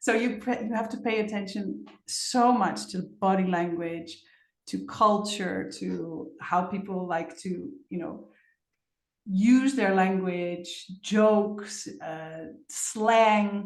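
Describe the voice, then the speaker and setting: Audible room echo surrounds a woman speaking at a very slow pace. Her pitch is medium. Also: ordinary pitch variation. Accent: Dutch. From Netherlands. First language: Dutch. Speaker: facilitator. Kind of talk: interview.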